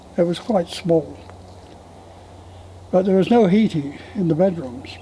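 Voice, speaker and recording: Over noticeable background noise, a man speaks with a high pitch and ordinary pitch variation. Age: 90s. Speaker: elderly storyteller. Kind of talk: oral history interview.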